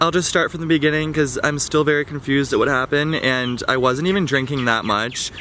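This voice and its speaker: Over light background noise, a man talks at a very fast pace with fairly even intonation in a dry sound with no echo. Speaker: vlogger. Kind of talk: casual vlog chat, storytelling. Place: garden. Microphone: phone near.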